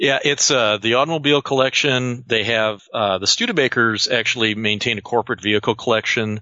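With an American accent, a man with an unremarkable speaking voice talks at medium pitch and a fairly quick pace, with hardly any pauses, fairly even intonation and very even loudness. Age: 40s. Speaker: museum archivist and automotive historian. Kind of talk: interview.

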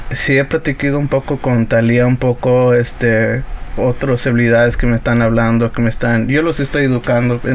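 Against noticeable background noise, a man talks at a moderate pace and medium pitch with monotone, flat intonation and very even loudness. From US-born to Mexican parents from Puebla. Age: 20s. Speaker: digital artist and NFT entrepreneur. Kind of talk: interview.

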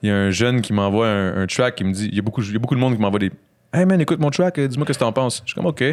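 A man at medium pitch, animated and very fast, with lively intonation, on a very clean recording with a silent background. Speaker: podcast host. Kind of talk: casual chat.

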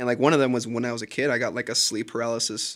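A man speaks in an American accent with a monotone, flat delivery. The recording is very clean, with a silent background. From California, Sacramento. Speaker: college student. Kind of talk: casual chat.

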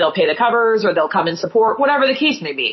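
A woman speaks in an American accent. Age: 30s. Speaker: rock singer. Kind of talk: casual interview.

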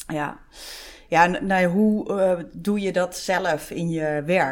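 A woman speaks at fairly low pitch with ordinary pitch variation. The recording is very clean, with a silent background. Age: 40s. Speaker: podcast host, HR professional. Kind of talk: interview conversation.

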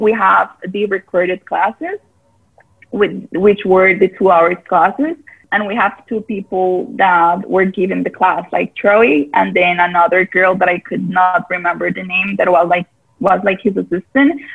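A woman with a Spanish accent at a fairly slow pace. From Costa Rica. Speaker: yoga teacher. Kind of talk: casual interview.

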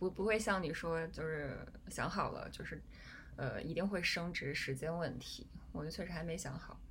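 The voice carries vocal fry and ordinary pitch variation. It moves at a moderate pace, with audible room echo. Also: woman, fairly low pitch for a woman. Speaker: podcast host. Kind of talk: casual chat. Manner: halting.

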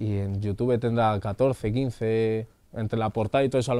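Flat, monotone intonation marks this man's medium-pitched voice. He has a dark, mellow tone and speaks at a moderate pace. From Madrid, Spain. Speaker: singer. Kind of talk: casual chat.

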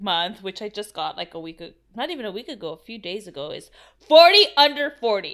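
A woman's raised, projected voice, bright and sharp in tone, with very wide pitch swings at a moderate pace. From Mexican-American. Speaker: podcast co-host. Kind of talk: casual chat.

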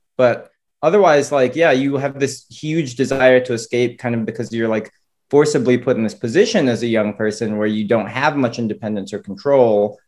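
With an ordinary speaking voice, a man talks at a fairly quick pace, his medium pitch showing ordinary pitch variation. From North Florida, Flagler County. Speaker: novelist. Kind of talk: interview.

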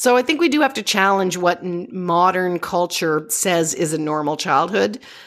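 In a Canadian accent, a woman speaks at a moderate pace with hardly any pauses, her fairly low, plain, everyday voice showing lively intonation on a very clean recording with a silent background. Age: 50s. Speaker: parenting expert. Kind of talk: interview.

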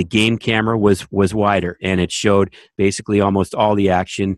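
A plain, everyday voice with a Canadian accent moves at a fairly quick pace. The sound is dry and close with no echo, over a quiet background. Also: man. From Canada. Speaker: sports TV director and podcast co-host. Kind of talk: casual chat.

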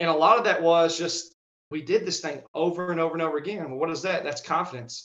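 Very fast speech from a man at a high pitch, in a Southern US accent, with ordinary pitch variation. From Arkansas, US South. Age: 30s. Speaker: strength coach. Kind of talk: casual interview chat.

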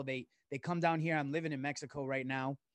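Against a quiet background, a man with an unremarkable speaking voice talks at a fairly high pitch with fairly even intonation, the sound dry and close with no echo. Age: 40s. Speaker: author and businessman. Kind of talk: casual chat.

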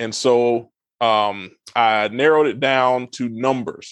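A man speaks in a normal speaking voice with fairly even intonation. The background is quiet. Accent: American. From US South, southeast Georgia. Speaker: financial advisor. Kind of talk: interview.

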